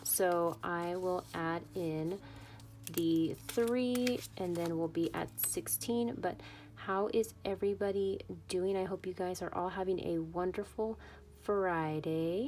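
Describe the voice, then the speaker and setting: The speech moves at a very slow pace with ordinary pitch variation. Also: woman, fairly low pitch for a woman. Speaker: budgeting YouTuber. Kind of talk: casual vlog talk. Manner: halting, with fillers and self-corrections.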